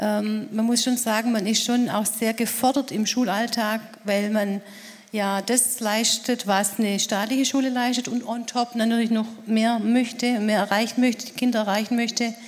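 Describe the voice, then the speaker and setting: A woman's fairly high, flat, monotone voice against noticeable background noise. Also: moderate pace. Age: 50s. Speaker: secondary school teacher. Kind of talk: panel discussion.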